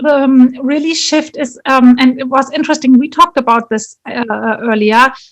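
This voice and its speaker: With a German accent, a woman speaks at high pitch and moderate pace, with ordinary pitch variation and hardly any pauses. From Germany, Munich. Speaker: leadership and career coach. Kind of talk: interview.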